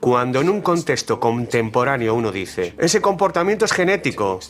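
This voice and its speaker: A man's pitch swings very widely as he speaks at a moderate pace over noticeable background noise. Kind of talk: documentary dub.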